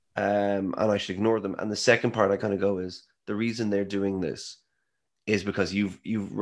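A man with an Irish accent, monotone and flat, at a moderate pace, on a very clean recording with a silent background. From Ireland. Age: 30s. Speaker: scientist and author. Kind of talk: interview.

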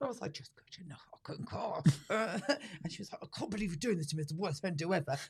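A woman's somewhat breathy, fairly low voice at a very fast pace, with lively intonation. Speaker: podcast host, comedian. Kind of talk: casual comedic chat, podcast.

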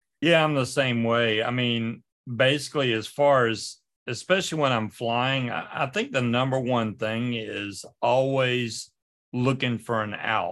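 This is an unremarkable speaking voice with ordinary pitch variation. The pace is fairly slow. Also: man, medium pitch for a man. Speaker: paramotor pilot. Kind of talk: casual chat.

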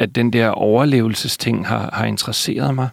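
Keeping a fairly even intonation, a man speaks at a medium pitch and a moderate pace. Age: 40s. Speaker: novelist. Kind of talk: interview. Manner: halting, hesitant with repetitions.

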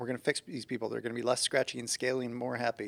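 A man's medium-pitched voice with vocal fry. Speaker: co-host, compounding pharmacist. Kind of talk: casual podcast conversation.

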